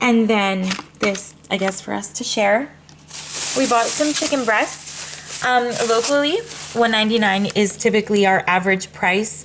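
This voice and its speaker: Against noticeable background noise, a woman speaks at a fairly slow pace in a fairly high voice with ordinary pitch variation. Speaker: mom lifestyle vlogger. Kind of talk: casual haul vlog.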